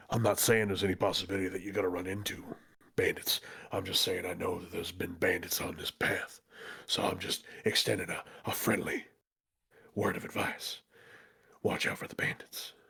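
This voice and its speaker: A man does a raspy, put-on character voice at a fairly quick pace, broken by long, frequent pauses. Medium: actual play. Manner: folksy, calls people partner.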